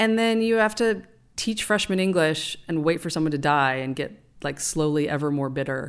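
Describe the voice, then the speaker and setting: A woman with an American accent and an unremarkable speaking voice, fairly low in pitch, with lively intonation at a moderate pace, in a very clean recording over a silent background. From California. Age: 50s. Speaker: winemaker. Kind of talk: casual chat.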